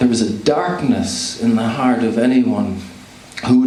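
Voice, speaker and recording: There is noticeable background noise behind a man speaking at a fairly slow pace. His pitch is medium and his intonation fairly even. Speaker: spoken word poet. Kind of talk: spoken word poetry performance.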